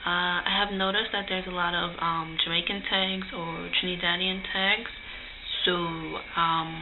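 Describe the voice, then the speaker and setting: Noticeable background noise sits behind a woman's fairly low voice. She talks at a fairly slow pace in a monotone, flat intonation. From Guyana. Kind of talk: casual talk to camera.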